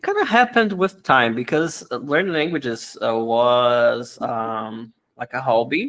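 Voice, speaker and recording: In a Brazilian Portuguese accent, a man speaks at a fairly slow pace and a medium pitch, with ordinary pitch variation and hardly any pauses. His loudness swings widely, on a very clean recording with a silent background. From Brazil, Rio de Janeiro. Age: 30s. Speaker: language teacher. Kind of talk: interview. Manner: halting.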